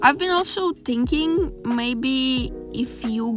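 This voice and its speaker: Music plays in the background as the speaker talks with a non-native accent. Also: woman. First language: not English. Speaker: art youtuber. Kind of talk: casual voiceover while drawing. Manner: halting, many fillers.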